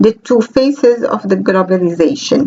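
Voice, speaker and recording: A woman's fairly high voice at a moderate pace, over noticeable background noise. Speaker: computer science researcher. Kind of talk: conference talk. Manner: formal.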